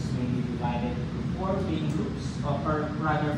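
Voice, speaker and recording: A man speaks at a moderate pace. There is loud background noise and audible room echo. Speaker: presenter. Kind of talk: presentation. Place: meeting room.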